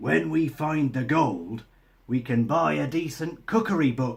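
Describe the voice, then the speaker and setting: A man speaks at a fairly slow pace in a put-on character voice, his pitch medium. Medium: read story.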